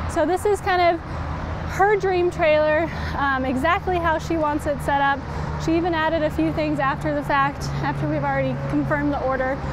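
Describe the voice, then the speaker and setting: A woman at a moderate pace, dry sound with no echo, and noticeable background noise. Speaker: presenter. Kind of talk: live product walkaround presentation. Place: street.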